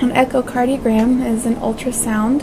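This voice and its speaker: A woman's monotone, flat delivery moves at a moderate speed with noticeable background noise behind it. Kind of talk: explanatory talk to camera. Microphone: lapel.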